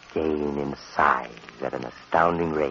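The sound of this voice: The man's pitch is extremely low. His tone is fairly bright.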